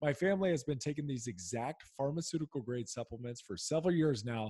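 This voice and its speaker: A man with a dark, mellow tone and fairly high pitch speaks at a fairly quick pace, somewhat breathy, with lively intonation. The background is quiet and the sound dry, with no echo. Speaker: podcast host, former football player. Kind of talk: podcast interview. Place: home room. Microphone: studio mic.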